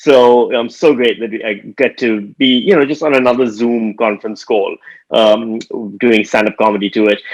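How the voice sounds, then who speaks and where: With a Pakistani accent, a man speaks at a moderate pace and medium pitch, with ordinary pitch variation. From Pakistan, Karachi. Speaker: stand-up comedian. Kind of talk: stand-up. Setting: video call.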